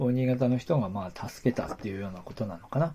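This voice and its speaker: At a moderate pace, a man talks with a dark, mellow tone. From Aomori, Japan. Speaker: podcast host. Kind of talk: casual solo talk about local history. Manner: hesitant, many fillers.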